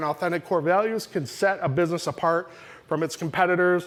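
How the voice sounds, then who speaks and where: Delivered at a very fast pace with fairly even intonation, the speech comes through on a very clean recording with a silent background. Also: man. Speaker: business owner giving a talk at a marketing meet-up. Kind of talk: presentation to live audience. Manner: halting, many fillers and restarts.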